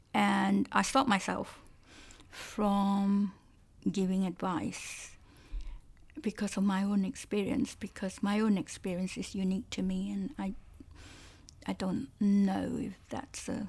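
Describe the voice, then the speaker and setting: With a Cantonese accent, a woman speaks at a fairly slow pace, leaving long, frequent pauses, on a very clean recording with a silent background. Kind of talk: casual conversation, interview. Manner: laughs often, hesitant with fillers.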